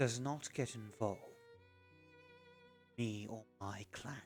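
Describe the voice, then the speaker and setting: Over clear background music, a man does a put-on character voice at a medium pitch and a fairly slow pace. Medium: actual play. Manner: cold, measured, guarded.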